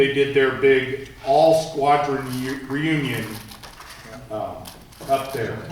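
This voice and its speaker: Very slow and monotone, with long, frequent pauses, a man speaks at a fairly high pitch amid noticeable background noise and audible room echo. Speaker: navy veterans association board member. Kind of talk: meeting discussion. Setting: meeting room, no microphone. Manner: loud.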